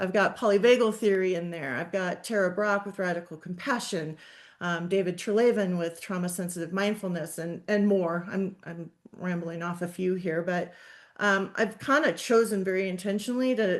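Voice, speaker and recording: The woman has a normal speaking voice at a medium pitch. She talks at a moderate pace with ordinary pitch variation. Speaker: social work professor. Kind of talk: webinar presentation.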